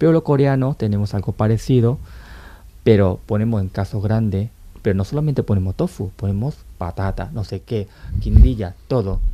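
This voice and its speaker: This man has a dark, mellow tone and a fairly low pitch. He talks at a moderate pace with lively intonation. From Latin America, Korean parents. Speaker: author and podcaster on Korea. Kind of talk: casual chat.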